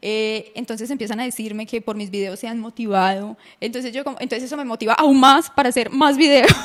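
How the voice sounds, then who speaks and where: Over noticeable background noise, a woman with a fairly high pitch speaks very fast, with hardly any pauses. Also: ordinary pitch variation. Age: 20s. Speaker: breast cancer survivor and content creator. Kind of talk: interview.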